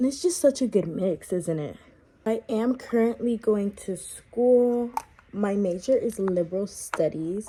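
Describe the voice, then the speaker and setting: A woman with a South Florida accent speaks at a fairly slow pace in a fairly high voice with lively intonation, over noticeable background noise. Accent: South Florida American. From Miami, Florida. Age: 20s. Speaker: vlogger. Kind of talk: get-ready-with-me chat. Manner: relaxed.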